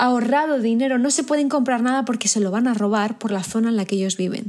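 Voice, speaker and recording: Her voice is high-pitched and intense in tone, and this woman's pitch varies in an ordinary way. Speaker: podcast host and business coach. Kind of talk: motivational monologue.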